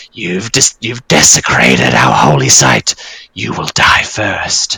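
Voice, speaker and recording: In a put-on character voice, a man growls at a very deep, low pitch with very wide pitch swings and a fairly slow pace. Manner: menacing, accusatory.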